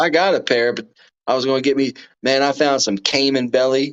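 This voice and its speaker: This man talks with a Texas accent. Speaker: live streamer. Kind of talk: casual chat.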